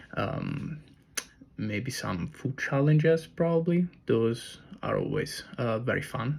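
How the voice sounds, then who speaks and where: Speaking at a very slow pace in an Italian accent, a man sounds somewhat breathy, with ordinary pitch variation. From Italy. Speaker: personal trainer and content creator. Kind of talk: casual vlog monologue. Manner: hesitant, many fillers.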